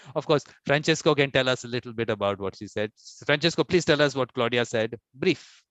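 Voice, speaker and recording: Fairly quick speech in an Indian accent with ordinary pitch variation. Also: man, medium pitch for a man. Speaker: conference host, mediator. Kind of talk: casual chat. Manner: fast.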